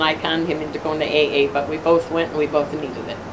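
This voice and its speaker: Noticeable background noise sits behind this woman. She talks at a very fast pace with an American accent. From Detroit, Michigan. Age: 70s. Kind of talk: interview answer.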